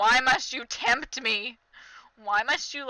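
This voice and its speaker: A woman puts on a nasal character voice, high in pitch. Her intonation stays fairly even at a fairly slow pace. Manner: whiny, dramatic tempted.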